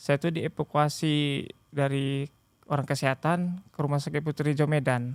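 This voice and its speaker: A man's fairly high, monotone voice at a moderate pace, dry and close with no echo, on a very clean recording with a silent background. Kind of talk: podcast interview, personal testimony.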